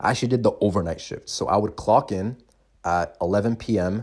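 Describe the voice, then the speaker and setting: On a very clean recording with a silent background, a man with a plain, everyday voice speaks at a fairly low pitch with ordinary pitch variation. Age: 20s. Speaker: podcast host, young entrepreneur. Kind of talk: solo podcast monologue, personal story. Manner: casual, filler-heavy.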